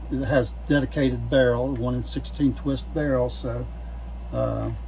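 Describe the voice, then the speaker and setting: Through audible room echo and noticeable background noise, a man speaks in a very deep, low, monotone and flat voice. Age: 70s. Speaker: gun hobbyist YouTuber. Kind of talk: casual show-and-tell video. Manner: halting, many fillers and repeats.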